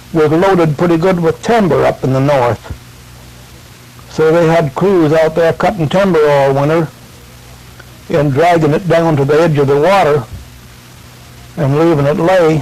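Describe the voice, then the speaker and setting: Speaking with a rural American accent at a moderate pace, a man uses a fairly high pitch and fairly even intonation, keeps his loudness very even, and leaves long, frequent pauses over noticeable background noise. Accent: rural American, colloquial grammar. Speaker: grandfather recounting family history. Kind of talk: oral family-history storytelling into a tape recorder. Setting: home tape recording, vintage audio. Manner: casual, rambling, folksy.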